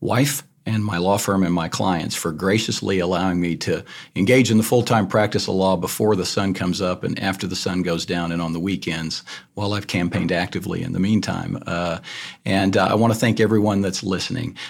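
With a Texan accent, a man talks at a fairly quick pace in a very deep, low pitch with ordinary pitch variation. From Texas, north Texas country. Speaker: lawyer, bar president candidate. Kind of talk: candidate forum.

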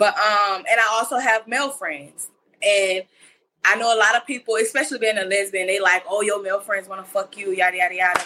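Bright and sharp in tone, a woman at medium pitch talks at a fairly quick pace with ordinary pitch variation. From Mississippi. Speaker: podcast panelist. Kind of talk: casual chat. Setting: video call.

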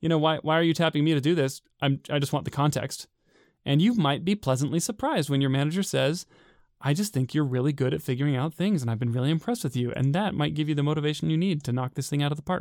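A man with an American accent talks very fast at a fairly high pitch, with ordinary pitch variation and very even loudness. The recording is very clean and dry, close with no echo and a silent background. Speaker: podcast co-host, software engineer. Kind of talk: casual chat.

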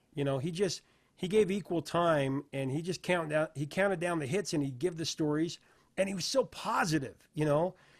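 An ordinary speaking voice with an American accent moves at a moderate pace with ordinary pitch variation, on a very clean recording with a silent background. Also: man, fairly high pitch for a man. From Idaho, US. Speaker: music interviewer. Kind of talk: interview.

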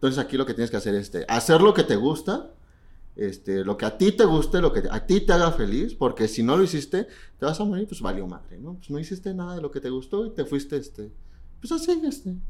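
A man talks at a very fast pace in a fairly high pitch, with very wide pitch swings and vocal fry. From Mexico. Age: 20s. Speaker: drag queen. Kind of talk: casual chat.

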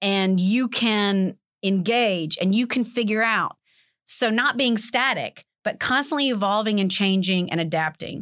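A woman speaks at a fairly slow pace with a fairly high pitch, very even loudness, ordinary pitch variation and an unremarkable speaking voice. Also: very clean recording, silent background. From US South, Alabama (Montgomery). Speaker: accounting lecturer. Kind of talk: interview.

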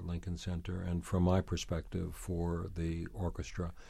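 A man with an American accent speaks in a very deep, low pitch with a dark, mellow, somewhat breathy tone. His intonation is monotone and flat, on a very clean recording with a silent background. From New York City. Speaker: former arts center president, author. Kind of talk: interview.

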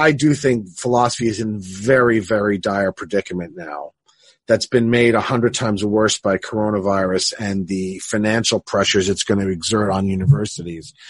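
With an ordinary speaking voice, a man talks at a fairly low pitch and moderate pace, showing ordinary pitch variation. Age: 50s. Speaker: philosophy professor and podcast host. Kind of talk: casual academic conversation.

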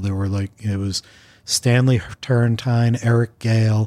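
A dark, mellow tone moves at a moderate pace with fairly even intonation in a very clean recording with a silent background. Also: man. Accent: New York. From Long Island, New York. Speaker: journalist and music critic. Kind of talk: casual interview.

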